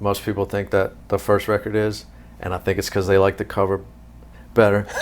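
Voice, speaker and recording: A man with a fairly low pitch, monotone and flat intonation, and a slight Southern US accent. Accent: Southern drawl, slight. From US South, Louisiana. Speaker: musician and producer. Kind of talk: interview.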